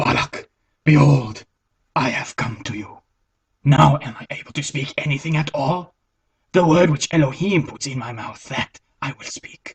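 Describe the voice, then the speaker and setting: In a cartoonish character voice of low-to-middle pitch, the speaker goes at a moderate pace with long, frequent pauses. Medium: puppet.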